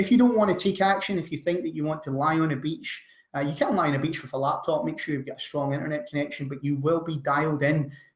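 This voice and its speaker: A man talks at a very fast pace with ordinary pitch variation and hardly any pauses. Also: fairly high pitch for a man. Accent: Scottish. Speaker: online business coach. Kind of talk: webinar sales pitch. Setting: online webinar. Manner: energetic.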